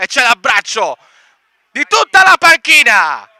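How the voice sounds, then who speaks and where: Raising and projecting his voice, a man speaks at an extremely high pitch in a bright, sharp tone, with a dry, close sound and no echo. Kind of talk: live sports commentary.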